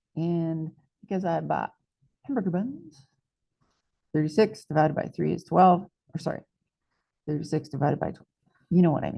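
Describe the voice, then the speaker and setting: Speaking with an American accent, a woman with a fairly low pitch, a dark, mellow tone and vocal fry uses ordinary pitch variation, long, frequent pauses and big swings in loudness. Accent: southern US drawl, at times. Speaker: math teacher. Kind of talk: tutorial. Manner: casual, chatty.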